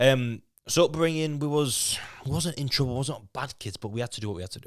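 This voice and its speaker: Speaking at a fairly quick pace, a man with a Yorkshire accent has a medium pitch. His loudness swings widely. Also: ordinary pitch variation, very clean recording, silent background. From Leeds, Yorkshire (raised from age 8; born in Lithuania). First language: Lithuanian. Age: 20s. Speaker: fitness boot camp owner. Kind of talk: podcast interview. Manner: halting, frequent repetitions.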